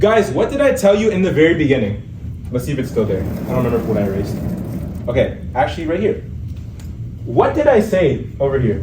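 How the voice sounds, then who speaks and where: The delivery is very fast, broken by long, frequent pauses. Audible room echo and noticeable background noise are present. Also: man. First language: Urdu. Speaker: MCAT tutor. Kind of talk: lecture. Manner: casual, stumbling over words. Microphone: no microphone.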